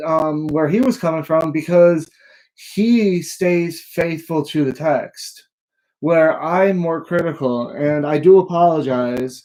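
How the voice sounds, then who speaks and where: Mumbling, a man speaks at a very slow pace in a fairly high pitch. His tone is dark and mellow. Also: ordinary pitch variation. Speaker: bible teacher. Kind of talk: lecture. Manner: halting.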